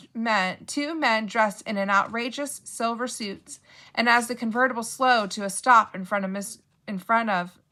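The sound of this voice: Reading done in an unforced reading voice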